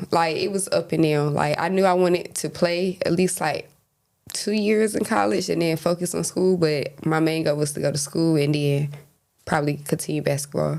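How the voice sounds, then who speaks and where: Speaking with a North Carolina accent, a woman keeps a moderate pace and fairly low pitch with ordinary pitch variation. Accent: US South, North Carolina. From eastern North Carolina. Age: 20s. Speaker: basketball coach. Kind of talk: interview. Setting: studio. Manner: polite, brief answers.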